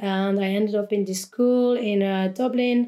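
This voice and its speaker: A woman's fairly high-pitched voice in a French accent, dark and mellow in tone, with ordinary pitch variation. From France. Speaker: DJ and music producer. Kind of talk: casual chat. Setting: studio.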